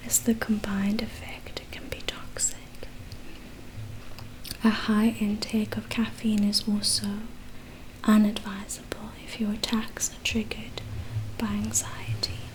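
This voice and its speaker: A woman whispering at a fairly slow pace, with long, frequent pauses and big swings in loudness, over noticeable background noise. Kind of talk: ASMR book reading. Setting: chewing gum while speaking. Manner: soft-spoken, slow.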